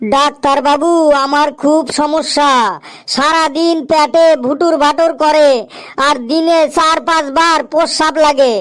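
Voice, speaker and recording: A woman does a cartoonish character voice in a high pitch, with monotone, flat intonation, very even loudness and a fairly slow pace. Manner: rambling, repetitive.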